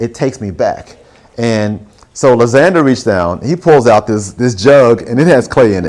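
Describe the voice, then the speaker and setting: In a Southern US accent, the speaker keeps a moderate pace with ordinary pitch variation. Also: man. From Alabama, Huntsville. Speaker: visual artist. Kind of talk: artist talk with audience Q&A. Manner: casual, conversational.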